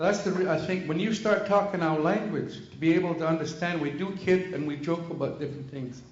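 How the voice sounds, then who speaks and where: A loud, high-pitched male voice at a fairly quick pace with hardly any pauses and ordinary pitch variation, amid noticeable background noise and audible room echo. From Canada, British Columbia (First Nations, Alert Bay). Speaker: First Nations community member. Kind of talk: public meeting comment. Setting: conference room with microphone.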